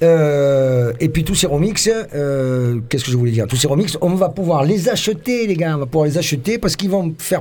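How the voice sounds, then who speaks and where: Over noticeable background noise, a man speaks at a fairly high pitch and a moderate pace, with hardly any pauses, lively intonation, an animated tone and very even loudness. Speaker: radio host and band member. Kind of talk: casual live radio chat. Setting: radio studio.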